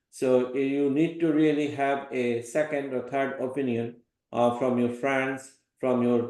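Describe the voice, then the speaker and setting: Audible room echo surrounds a man speaking at medium pitch. He talks at a very slow pace, his intonation monotone and flat. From Bangladesh. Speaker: professor. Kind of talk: lecture.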